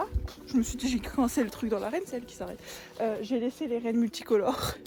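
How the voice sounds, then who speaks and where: The speech comes at a very fast pace with ordinary pitch variation over noticeable background noise. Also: woman, high pitch for a woman. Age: 20s. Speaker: equestrian. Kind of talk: casual vlog talk to camera.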